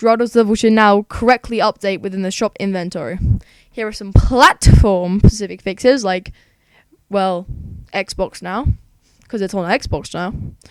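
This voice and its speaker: The recording is dry and close, with no echo. A woman speaks at a medium pitch with ordinary pitch variation. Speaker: gaming youtuber. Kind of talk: reading patch notes with commentary. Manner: fast.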